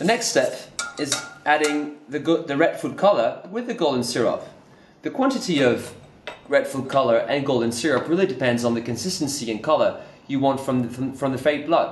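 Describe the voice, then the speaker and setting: With audible echo in the room, a man moves through his words at a fairly quick pace. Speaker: presenter. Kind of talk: tutorial. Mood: light, cheerful. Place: studio.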